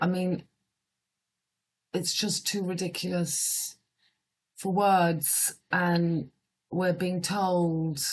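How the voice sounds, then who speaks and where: A woman talks at a very slow pace in a fairly low pitch, her intonation monotone and flat, with long, frequent pauses. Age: 50s. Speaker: astrologer. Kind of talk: casual monologue reading headlines. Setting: at home. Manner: quiet.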